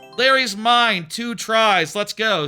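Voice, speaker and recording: Speaking very slowly in a raised, projected voice, a man with an American accent has a bright, sharp tone on a very clean recording with a silent background. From Texas. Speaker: streamer. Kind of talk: casual chat. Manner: animated; halting.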